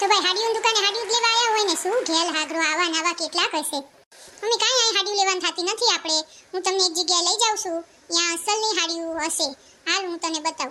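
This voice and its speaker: Squeaky and fairly quick, a woman's cartoonish character voice reaches extremely high pitch. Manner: sharp-tongued, sarcastic.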